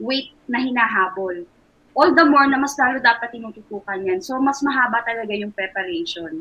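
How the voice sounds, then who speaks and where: A woman speaks at a high pitch with lively intonation. She keeps a moderate pace. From Philippines. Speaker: sports nutritionist; nutrition coach. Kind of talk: interview. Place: home room. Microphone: video call.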